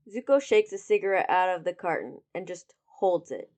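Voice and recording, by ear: With a quiet background, a person reads aloud in a natural voice.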